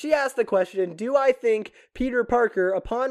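A quiet setting and a moderate speaking pace. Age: 20s. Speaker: podcast host. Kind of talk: casual Q&A livestream. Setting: TikTok live stream. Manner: animated.

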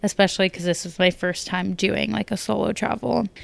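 A woman with an American accent at a fairly quick pace, on a very clean recording with a silent background. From US. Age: 20s. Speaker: podcast host. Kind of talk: casual solo chat.

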